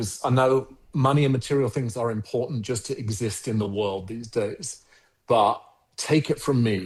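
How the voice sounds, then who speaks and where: This man speaks with a South London accent at a moderate pace in a medium pitch, with ordinary pitch variation. His voice is somewhat breathy over a quiet background. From South London (Croydon), England. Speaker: agency founder and CEO. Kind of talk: podcast interview.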